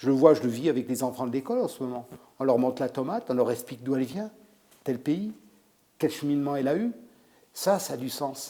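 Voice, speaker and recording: The voice is a man's, fairly high in pitch. His intonation is lively and his pace moderate. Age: 60s. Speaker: chef. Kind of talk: interview. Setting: restaurant salon.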